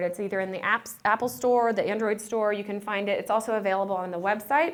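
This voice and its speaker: A woman talks at a very fast pace. Her voice is fairly high. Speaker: nutrition program manager presenting. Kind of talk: conference presentation. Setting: conference room with audience. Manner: animated.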